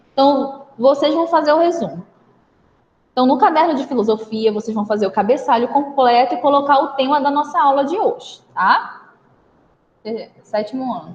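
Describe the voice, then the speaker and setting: Speaking at a moderate pace, a woman with a high-pitched voice makes very wide pitch swings and big swings in loudness, leaving long, frequent pauses. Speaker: schoolteacher. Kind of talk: online class lesson.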